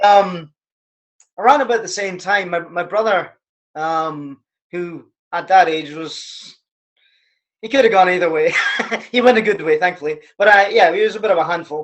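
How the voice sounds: A man's high voice, fairly bright in tone, at a moderate pace with ordinary pitch variation.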